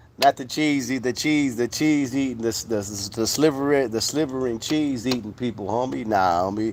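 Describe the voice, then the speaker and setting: A man with an American accent talks at a moderate pace in a medium pitch with ordinary pitch variation, hardly pausing at all. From US West Coast, Modesto, California. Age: 40s. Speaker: livestream host. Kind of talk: casual livestream chat. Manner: animated.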